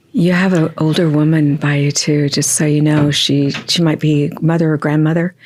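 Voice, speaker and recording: A woman with a very deep, low pitch talks at a moderate pace in a monotone, flat delivery, keeping very even loudness and hardly pausing, amid noticeable background noise. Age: 60s. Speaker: psychic medium. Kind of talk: psychic reading in interview.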